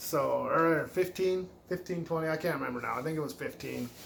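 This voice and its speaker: At a fairly quick pace, a man with an ordinary speaking voice talks at a fairly high pitch. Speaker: retro game collector YouTuber. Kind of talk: casual video game haul show-and-tell.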